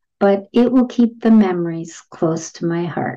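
A woman with a dark, mellow tone speaks at a moderate pace against a quiet background. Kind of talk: reading student testimonials aloud. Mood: warm, reflective. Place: home room. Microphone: webcam.

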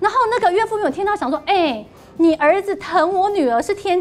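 Noticeable background noise accompanies a fairly quick pace of speech. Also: woman. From Taiwan, Yunlin. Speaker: talk show panelist. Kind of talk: TV talk show discussion. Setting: studio.

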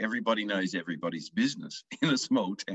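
In an Australian accent, a man talks at a very fast pace, his sound dry with no echo against a quiet background. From rural Victoria, Australia. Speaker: country music singer-songwriter. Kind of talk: casual interview. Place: home room. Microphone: video call.

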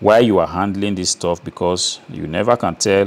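A man talks at a fairly quick pace in a fairly low pitch. He has a plain, everyday voice. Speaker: presenter. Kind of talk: tutorial. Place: workshop. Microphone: lapel.

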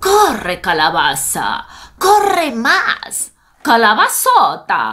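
A woman talks at a very slow pace. There is light background noise. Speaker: storyteller. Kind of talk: children's story reading. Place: home room. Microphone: webcam.

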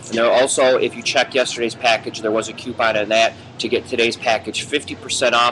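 A man keeps a moderate pace as noticeable background noise runs underneath. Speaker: sports betting show host. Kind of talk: promotional sports betting picks video. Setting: Irish pub. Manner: animated. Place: bar. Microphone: webcam.

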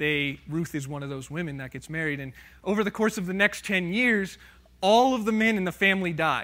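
With a bright, sharp tone, a man speaks at a moderate pace with ordinary pitch variation. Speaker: preacher. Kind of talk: sermon. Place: church.

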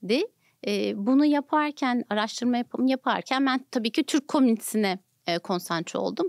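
In a dry recording with no echo, a woman with a high voice talks at a moderate pace with lively intonation. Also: quiet background. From Turkey. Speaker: nonprofit foundation director; podcast guest. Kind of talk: interview. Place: studio. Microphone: studio mic.

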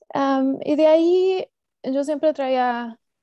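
A woman speaks with a dark, mellow tone and ordinary pitch variation. The sound is dry with no echo, and the background is quiet. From Mexico (Estado de México), moved to US at 15. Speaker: cooperative development specialist; presenter. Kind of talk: online seminar presentation. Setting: video call. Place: home room. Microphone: earbuds.

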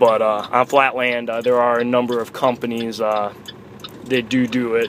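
At a moderate pace, a man talks over light background noise in a dry sound with no echo. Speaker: truck sales or product rep. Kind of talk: product explanation while driving. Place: car. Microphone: phone near.

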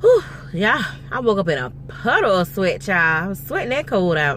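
The speech moves at a moderate pace, recorded dry with no echo over light background noise. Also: woman. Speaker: vlogger. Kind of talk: casual vlog chat. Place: car. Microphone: phone near.

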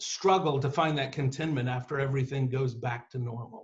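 Over a quiet background, a man talks. His pace is moderate. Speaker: author and writing teacher; guest. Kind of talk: lecture on myth and storytelling. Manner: energetic, animated. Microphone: video call.

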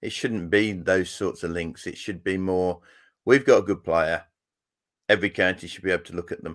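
Over a quiet background, a man with a very deep, low pitch speaks with big swings in loudness. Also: fairly even intonation, moderate pace. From Yorkshire, England. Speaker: former fast bowler, school cricket coach. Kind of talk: casual interview. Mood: relaxed, reflective. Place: home room.

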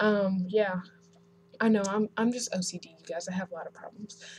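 Over light background noise, a woman's voice sounds somewhat breathy. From North Carolina. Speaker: hair vlogger. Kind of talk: casual vlog. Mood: chatty, self-mocking. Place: home room. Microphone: webcam.

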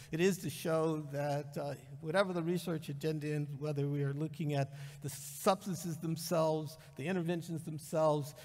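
A man speaks at a moderate pace, somewhat breathy, with fairly even intonation. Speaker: conference speaker. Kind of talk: lecture. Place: hall. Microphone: podium.

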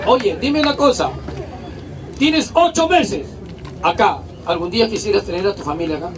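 Crowd noise fills the background as a man speaks at a moderate pace. His pitch swings very widely. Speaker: street comedian. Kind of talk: comedy crowd banter and interview. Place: street.

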